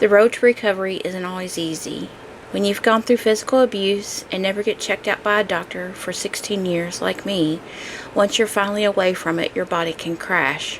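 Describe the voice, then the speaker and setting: A woman talks at a medium pitch with noticeable background noise present. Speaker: podcaster sharing abuse recovery. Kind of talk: personal testimony monologue. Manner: halting, speech edited for mistakes.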